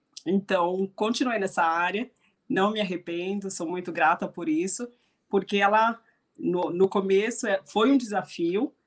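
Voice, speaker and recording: A woman's normal speaking voice, medium in pitch, with ordinary pitch variation, at a fairly slow pace over a quiet background. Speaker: hospitality consultant. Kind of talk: online panel talk.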